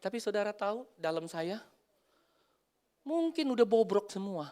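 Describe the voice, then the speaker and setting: In a very clean recording with a silent background, a man is heard. His pace is moderate and his intonation lively. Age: 50s. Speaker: pastor. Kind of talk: sermon. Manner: animated.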